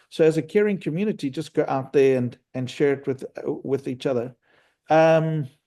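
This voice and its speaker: A man speaks at a moderate pace in a fairly high pitch with a dark, mellow tone. His pitch varies in an ordinary way over a quiet background. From South Africa, Cape Town. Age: 50s. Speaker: business leader. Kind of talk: online business meeting.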